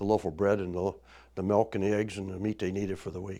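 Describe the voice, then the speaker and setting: The man's voice sits fairly low. He speaks extremely fast. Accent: Midwestern US. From Indiana. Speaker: oral history storyteller. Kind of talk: oral history interview. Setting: studio. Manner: halting.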